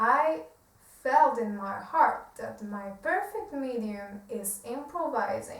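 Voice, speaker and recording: A woman in a Polish accent speaks at a very slow pace with big swings in loudness and audible room echo. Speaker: self-help video creator. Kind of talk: reading aloud. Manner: halting.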